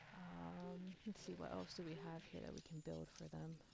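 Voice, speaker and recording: Speech comes at a fairly slow pace. The voice is soft-spoken. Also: woman. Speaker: game streamer. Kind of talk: gameplay commentary. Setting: live stream.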